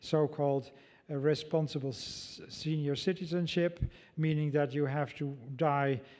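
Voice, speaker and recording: In a very clean recording with a silent background, a man with a Dutch accent speaks at a fairly slow pace and fairly high pitch. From Netherlands. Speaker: ethicist. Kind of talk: lecture Q&A. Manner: halting.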